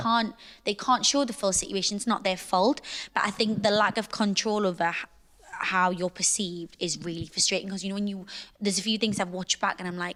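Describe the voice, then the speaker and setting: A woman with a Geordie accent, fairly quick, medium-pitched and fairly even in intonation, with a bright, sharp tone. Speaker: reality TV personality. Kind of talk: podcast interview answer.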